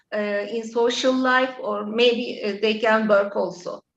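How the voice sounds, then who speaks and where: In a Turkish accent, a woman with a fairly high pitch speaks at a very slow pace with fairly even intonation. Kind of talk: interview. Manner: halting, many fillers.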